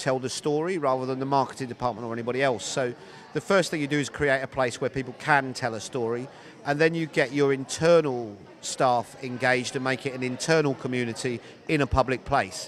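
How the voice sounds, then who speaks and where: This man has a British accent and speaks at a fairly quick pace. His pitch varies in an ordinary way. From Britain. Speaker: recruiting consultant. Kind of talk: interview answer. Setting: conference floor.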